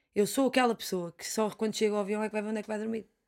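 A woman speaks against a quiet background. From Portugal. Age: 20s. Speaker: fado singer; interviewee. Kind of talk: interview conversation. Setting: studio. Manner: halting, many repetitions. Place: studio. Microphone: studio mic.

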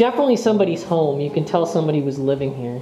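A woman speaks with audible room echo. Faint music plays in the background. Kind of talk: casual vlog chat. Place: home room.

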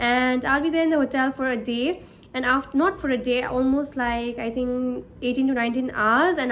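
A woman talks with fairly even intonation while light noise sits in the background. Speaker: cabin crew vlogger. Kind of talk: casual vlog chat. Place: home room. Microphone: phone near.

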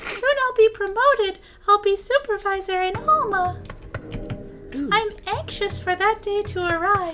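Over clear background noise, a woman uses a put-on character voice at an extremely high pitch and a moderate pace. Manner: eager, anxious.

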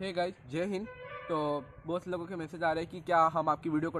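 Music plays in the background as a man speaks at a moderate pace. His high-pitched voice keeps fairly even intonation. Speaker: short-video creator. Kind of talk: casual vlog chat. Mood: earnest, mildly preachy. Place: street. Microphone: phone near.

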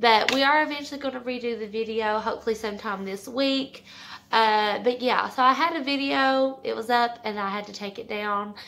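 A woman speaking at a fairly quick pace, with ordinary pitch variation and light background noise. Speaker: mom vlogger. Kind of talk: casual vlog chat. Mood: relaxed, chatty. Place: home room. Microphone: phone near.

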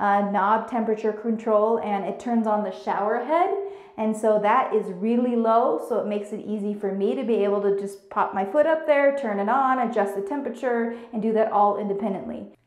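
A moderate pace with hardly any pauses, ordinary pitch variation and audible room echo. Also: woman. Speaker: home tour host. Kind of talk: casual tutorial vlog. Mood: upbeat and grateful. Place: bathroom.

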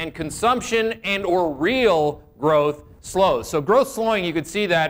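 A man talks with lively intonation. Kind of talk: market commentary. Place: studio. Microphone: lapel.

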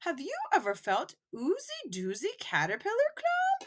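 A woman puts on a character voice pitched extremely high. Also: moderate pace. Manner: peaceful, calm, gentle.

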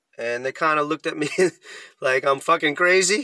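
A man's bright, sharp voice carries ordinary pitch variation, dry with no echo over a quiet background. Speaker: vlogger. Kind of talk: casual vlog chat. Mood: rueful, self-deprecating, laughing. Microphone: phone near.

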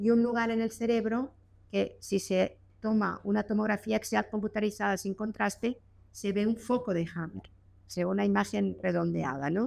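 The pace is moderate. The voice belongs to a woman. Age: 60s. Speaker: physician giving a talk. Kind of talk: lecture. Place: hall. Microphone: studio mic.

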